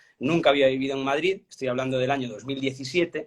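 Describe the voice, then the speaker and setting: Fairly high in pitch, a man talks with a Galician accent and fairly even intonation. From Galicia, Spain. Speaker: journalist. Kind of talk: interview.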